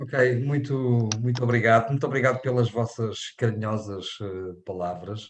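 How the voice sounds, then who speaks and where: Against a quiet background, a man with a European Portuguese accent talks at a fairly slow pace. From Portugal. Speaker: invited lecturer. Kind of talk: lecture. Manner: halting, many fillers.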